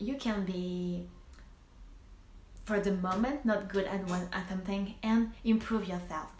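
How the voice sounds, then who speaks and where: A woman's medium-pitched voice with a French accent, fairly slow and broken by long, frequent pauses, with audible room echo. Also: fairly even intonation. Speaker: primary school teacher and vlogger. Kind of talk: casual advice vlog. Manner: halting, many false starts.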